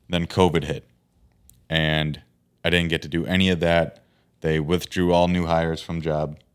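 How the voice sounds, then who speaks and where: A man with an Upper Midwest accent speaks in a very deep, low pitch and monotone, flat intonation at a moderate pace, on a very clean recording with a silent background. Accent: Upper Midwest (Minnesota). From Minnesota, Fergus Falls. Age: 30s. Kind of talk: casual chat.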